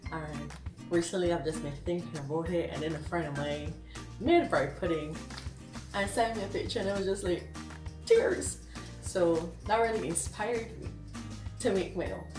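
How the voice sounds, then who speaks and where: With clear music in the background, a woman talks at a moderate pace, taking long, frequent pauses. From Barbados. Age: 20s. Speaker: home cooking vlogger. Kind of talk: casual cooking tutorial to camera. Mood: cheerful, smiling. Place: kitchen. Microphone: phone near.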